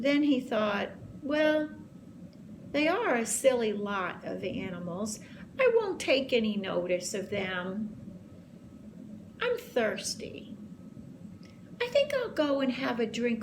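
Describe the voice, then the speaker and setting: A woman speaks in a put-on character voice at a fairly slow pace. She leaves long, frequent pauses over clear background noise. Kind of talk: bedtime story. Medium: read story.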